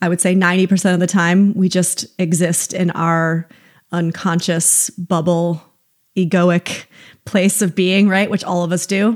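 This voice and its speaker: On a very clean recording with a silent background, a woman with an American accent talks in a fairly low pitch with monotone, flat intonation. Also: fairly slow pace, very even loudness. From upstate New York. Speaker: psychotherapist. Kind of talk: casual chat.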